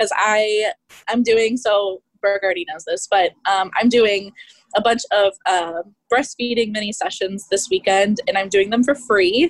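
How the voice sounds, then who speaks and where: A woman's normal speaking voice, a normal speaking voice with an American accent, fairly high in pitch with ordinary variation, at a moderate pace, dry and close with no echo. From Kansas City. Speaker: family and boudoir photographer. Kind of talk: group coaching call.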